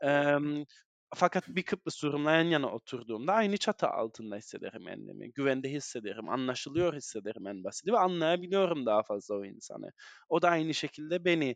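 Against a quiet background, a man speaks fairly quickly at a fairly high pitch, his voice swinging very widely in pitch and sharply in loudness, with a dry, close sound and no echo. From northern Cyprus (Güzelyurt/Morphou). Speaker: activist and parliamentary aide. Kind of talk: interview. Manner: halting, many fillers.

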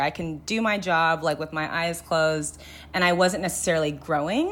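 A woman's fairly low voice in a Californian accent, with ordinary pitch variation. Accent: Californian American. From Los Angeles, San Fernando Valley. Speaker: podcast producer. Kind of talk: interview. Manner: casual, filler-heavy.

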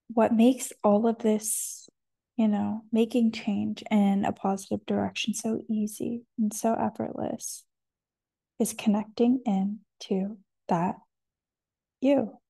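A woman's fairly high, somewhat breathy voice in a dark, mellow tone, very slow, with long, frequent pauses and fairly even intonation over a quiet background. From Canada. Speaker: podcast host. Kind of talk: solo monologue about wellness. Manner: reflective, hesitant, many fillers.

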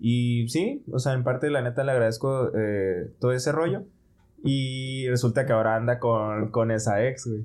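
At a fairly slow pace, a normal speaking voice carries ordinary pitch variation and very even loudness. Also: man, medium pitch for a man. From Mexico, Ciudad Juárez (northern border). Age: 20s. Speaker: medical resident. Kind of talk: casual chat.

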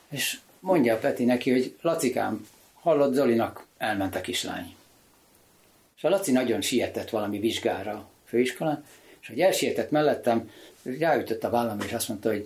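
With lively intonation and a moderate pace, the speaker has a normal speaking voice. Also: man, medium pitch for a man. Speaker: sculptor and author. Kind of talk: casual chat.

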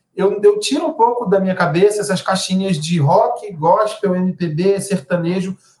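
A man with a high voice speaks at a fairly slow pace with ordinary pitch variation. He takes hardly any pauses. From Brazil, Belém do Pará. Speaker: journalist and songwriter. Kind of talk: interview conversation.

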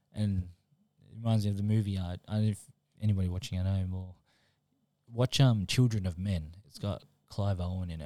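A man with an Australian accent speaks at a very deep, low pitch in a dark, mellow tone, with fairly even intonation. His pace is fairly quick, broken by long, frequent pauses, in a very clean recording with a silent background. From Melbourne, Australia, born in New Zealand. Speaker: high school friend of the host. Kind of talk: casual chat.

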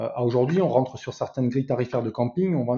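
Somewhat breathy, this man's voice moves with ordinary pitch variation. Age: 40s. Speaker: software sales director. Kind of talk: interview.

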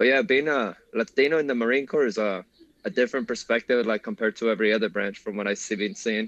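In a Spanish accent, a man of medium pitch talks very fast with ordinary pitch variation, the sound dry and close with no echo. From Mexico. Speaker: Marine veteran. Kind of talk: casual interview.

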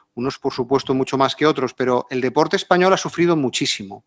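A man with an ordinary speaking voice talks at a fairly quick pace with ordinary pitch variation, in a dry, close sound with no echo. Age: 50s. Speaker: sports official and diplomat. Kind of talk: live panel discussion.

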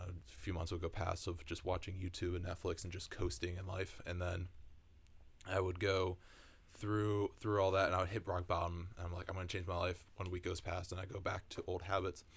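Very deep and low-pitched, a man speaks fairly quickly in a somewhat breathy voice with monotone, flat intonation. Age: 20s. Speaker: podcast co-host. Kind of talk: casual chat.

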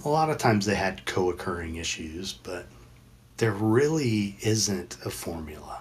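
This man's somewhat breathy, fairly low voice moves at a moderate pace with lively intonation. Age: 50s. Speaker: addiction counselor and podcast host. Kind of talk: casual chat. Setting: online audio room, recorded with video.

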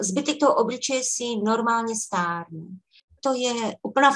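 At a fairly slow pace, a woman talks in a plain, everyday voice, fairly high in pitch with ordinary pitch variation. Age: 60s. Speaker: facial fitness coach. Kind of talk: interview.

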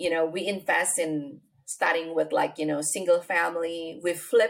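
A woman with an Indonesian accent. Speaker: real estate investor. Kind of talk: interview. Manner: halting.

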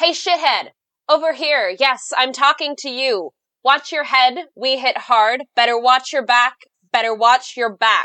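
A woman's put-on character voice, high, sing-song, raised and projected, at a fairly slow pace. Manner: rhythmic, sing-song cadence.

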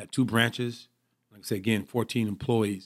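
In an American accent, a man speaks at a medium pitch. His intonation stays fairly even. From Michigan, Pontiac. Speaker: football coach and mentor. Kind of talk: casual interview.

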